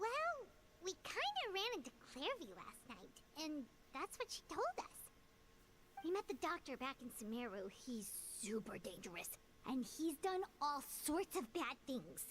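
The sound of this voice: A put-on character voice with a fairly bright tone and big pitch swings. It moves at a fairly slow pace over faint background noise. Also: woman, high pitch for a woman.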